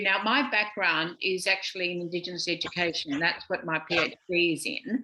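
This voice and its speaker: Speaking at a moderate pace, a woman with an Australian accent has a bright, sharp tone. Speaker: emeritus professor of education. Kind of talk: panel presentation. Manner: loud.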